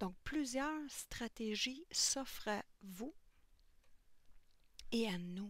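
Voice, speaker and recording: Soft-spoken and fairly high in pitch, a woman talks at a very slow pace with long, frequent pauses and lively intonation. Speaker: colouring tutorial youtuber. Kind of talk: tutorial.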